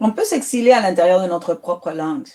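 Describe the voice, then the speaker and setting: In a very clean recording with a silent background, a woman with a Spanish accent speaks at a moderate pace in a dark, mellow tone and fairly low pitch. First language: Spanish (speaking French). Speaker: writer. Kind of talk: interview.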